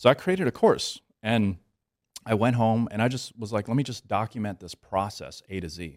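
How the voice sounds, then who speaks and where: On a very clean recording with a silent background and a dry, close sound with no echo, a man with an American accent has an ordinary speaking voice, medium pitch and lively intonation. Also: moderate pace. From US South, New Orleans area, Louisiana. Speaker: entrepreneur and business coach, Navy veteran. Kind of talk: casual interview. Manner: casual, filler-heavy.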